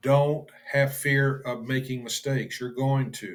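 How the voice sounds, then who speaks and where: The man's pitch sits fairly high. His voice is somewhat breathy. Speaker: bible study teacher. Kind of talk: bible study lecture. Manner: halting, stumbles over words; informal, unscripted.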